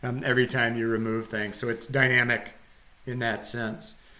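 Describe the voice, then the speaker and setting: A man's bright, sharp tone with audible room echo. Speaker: college computer science instructor. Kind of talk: live-streamed lecture. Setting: live online broadcast. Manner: hesitant, many fillers. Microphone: echo at start of stream.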